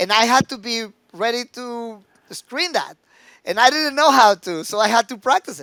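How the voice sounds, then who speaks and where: Raised and projected, a man's bright, sharp voice sits at an extremely high pitch, with lively intonation, big swings in loudness, a moderate pace, and a very clean recording over a silent background. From Mexico, Mexico City. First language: Spanish. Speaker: recruitment executive. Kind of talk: podcast interview. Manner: halting with repeated words.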